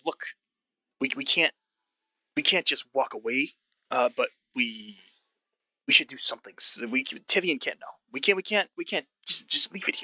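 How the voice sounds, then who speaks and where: A man puts on a gruff character voice with a high pitch at a moderate pace. His loudness swings widely, and he takes long, frequent pauses. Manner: urgent, arguing.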